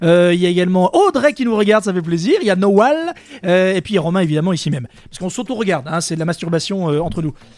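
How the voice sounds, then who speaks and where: Amid noticeable background noise, a high-pitched man talks in an animated tone at a very fast pace. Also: ordinary pitch variation. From Dordogne, France. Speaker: web radio host. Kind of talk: casual chat.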